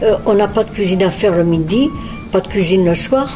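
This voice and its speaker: Music plays in the background as a woman talks at a moderate pace. Her pitch is medium, with ordinary pitch variation. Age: 80s+. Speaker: retirement home resident. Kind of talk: testimony. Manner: hesitant, many filler words.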